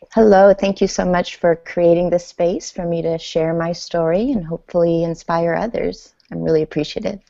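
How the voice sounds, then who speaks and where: A woman speaks at a moderate pace with an Iranian accent, barely pausing. Her pitch is fairly low and her intonation fairly even. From Iran, then Denver, Colorado from age 8. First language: Farsi. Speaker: author and speaker. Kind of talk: interview.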